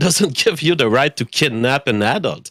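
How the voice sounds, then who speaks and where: Over a very clean recording with a silent background and a dry, close sound with no echo, a man with a French accent speaks at a moderate pace in a bright, sharp tone with very wide pitch swings. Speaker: caller. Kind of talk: casual chat.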